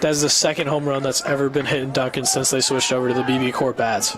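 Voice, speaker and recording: Against noticeable background noise, a man with a fairly high pitch speaks at a very fast pace. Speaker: sports broadcaster, play-by-play announcer. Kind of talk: baseball play-by-play commentary. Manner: excited, fast-paced live call.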